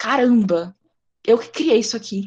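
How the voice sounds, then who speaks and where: Somewhat breathy, a woman's fairly high voice moves with ordinary pitch variation. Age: 20s. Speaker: podcast host. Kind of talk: casual interview chat. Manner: animated.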